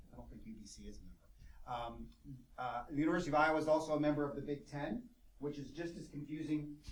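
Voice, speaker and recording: Speaking at a very fast pace, a man with a fairly high pitch and ordinary pitch variation sounds out amid audible room echo. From United States. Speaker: professor. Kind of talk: lecture.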